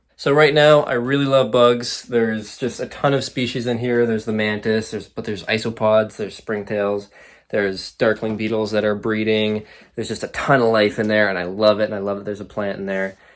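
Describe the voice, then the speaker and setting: On a very clean recording with a silent background, a man speaks fairly quickly at a fairly low pitch with fairly even intonation. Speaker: hobbyist fish and bug keeper YouTuber. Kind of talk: casual vlog update.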